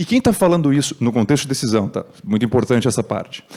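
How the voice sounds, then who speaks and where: Very wide pitch swings run through this man's very fast speech. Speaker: tech speaker at conference. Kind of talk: talk.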